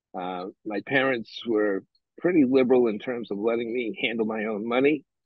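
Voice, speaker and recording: A man with a New England accent talks at a moderate pace, his medium pitch rising and falling in an ordinary way. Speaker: bookseller. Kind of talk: interview. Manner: halting.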